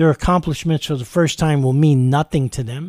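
The voice has a dark, mellow tone and a New York accent, moving at a fairly quick pace with ordinary pitch variation. The recording is very clean, with a silent background. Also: man. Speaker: radio preacher. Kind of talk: radio sermon. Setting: studio.

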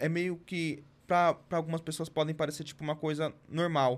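A man speaks at a fairly high pitch. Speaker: podcast co-host. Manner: shy.

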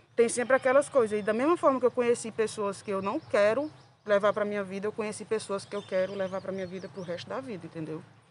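A woman talking at a very fast pace, her pitch varying in an ordinary way. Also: medium pitch for a woman, big swings in loudness. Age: 20s. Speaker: pedagogy student and rock scene fan. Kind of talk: podcast interview.

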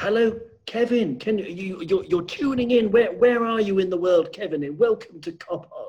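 This man has a high-pitched voice with a slightly mellow tone. He talks at a moderate pace with ordinary pitch variation.

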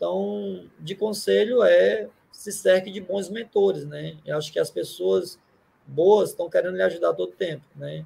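His loudness shows big swings. The man keeps to a fairly slow pace. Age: 30s. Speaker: wholesale distribution executive. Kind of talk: interview. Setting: live stream.

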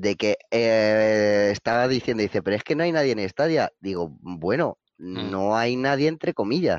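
Against a quiet background, a man talks in a normal speaking voice with fairly low pitch, the sound dry and close with no echo. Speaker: gamer. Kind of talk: casual chat.

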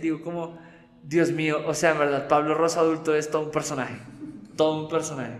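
Animated and fairly quick, a man with a fairly high pitch speaks through audible room echo and noticeable background noise. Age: 30s. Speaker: guest sharing faith story. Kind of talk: testimony. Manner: animated, laughing often.

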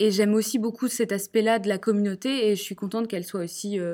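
At a fairly quick pace, a woman speaks in a dark, mellow tone at medium pitch on a very clean recording with a silent background. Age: 20s. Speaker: entrepreneur. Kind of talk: interview.

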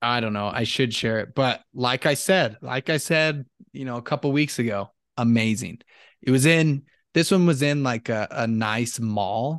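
Speaking at a moderate pace in a medium pitch with ordinary pitch variation, a man has an ordinary speaking voice, the sound dry and close with no echo against a quiet background. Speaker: co-host, sports fan. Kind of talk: casual chat.

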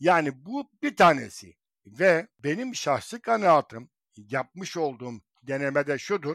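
A man with a fairly high pitch speaks at a fairly slow pace with very wide pitch swings, recorded dry and close with no echo on a very clean recording with a silent background. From Izmir, Turkey. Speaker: writer. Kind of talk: casual chat.

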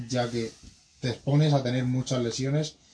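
There is noticeable background noise behind this man. He speaks at a medium pitch with a monotone, flat intonation. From Spain, Madrid. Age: 20s. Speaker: BMX rider. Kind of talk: interview.

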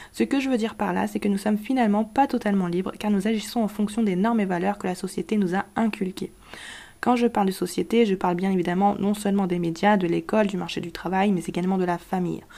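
A woman speaks at a very fast pace in a dark, mellow voice. Her medium pitch holds fairly even intonation. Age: 20s. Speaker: podcast host. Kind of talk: scripted explainer monologue.

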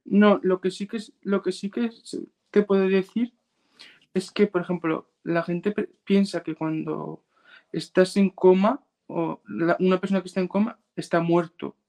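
A man's high voice with fairly even intonation at a fairly slow pace, dry and close with no echo. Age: 20s. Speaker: brain injury survivor and mental health advocate. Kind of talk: interview testimony. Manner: halting, repeats words.

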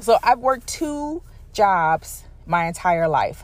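A woman speaks at a high pitch. Her pitch swings are very wide. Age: 30s. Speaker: podcast host. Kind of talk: personal monologue. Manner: casual with many fillers.

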